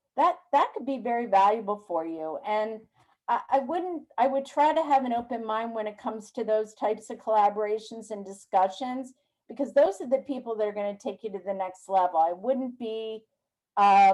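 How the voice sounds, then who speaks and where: In a normal speaking voice, a woman with fairly high pitch talks at a moderate pace with lively intonation. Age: 60s. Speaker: business mentor. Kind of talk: webinar Q&A.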